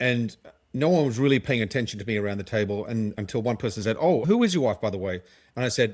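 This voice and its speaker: The recording is very clean, with a silent background. A man speaks with an Australian accent, his pitch swinging very widely. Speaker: legal tech company co-founder and marketer. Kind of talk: podcast interview.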